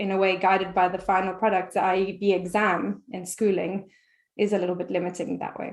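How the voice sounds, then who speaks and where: A woman at a medium pitch and moderate pace, flat and monotone in intonation. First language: not English. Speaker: French teacher. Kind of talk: interview conversation. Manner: halting, many repetitions.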